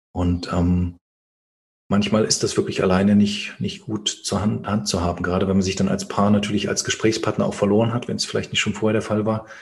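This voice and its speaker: A man talks at a fairly quick pace with a fairly low pitch, a somewhat breathy sound and a monotone, flat intonation. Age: 30s. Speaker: fathers' coach and author. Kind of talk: interview conversation.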